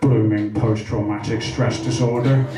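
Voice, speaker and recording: A man puts on a character voice at a moderate pace, his pitch fairly low, with loud music behind him and a slight echo. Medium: stage play. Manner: clipped military speech.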